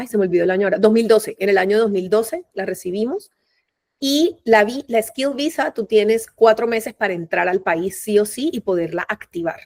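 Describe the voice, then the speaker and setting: A woman's fairly high voice in a Caribbean Colombian accent, at a moderate pace with ordinary pitch variation and a dry, close sound with no echo. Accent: Colombian Caribbean coastal (costeño). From Colombia, Barranquilla (Caribbean coast). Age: 40s. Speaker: migrant mother, human resources professional. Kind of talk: interview testimony. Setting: video call. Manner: talkative, animated.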